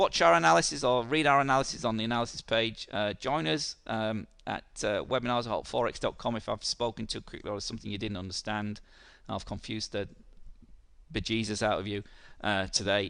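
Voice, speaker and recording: In a put-on character voice, a man sounds croaky, hoarse and raspy at a medium pitch. He talks at a fairly quick pace against a quiet background. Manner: fast, hurried speech.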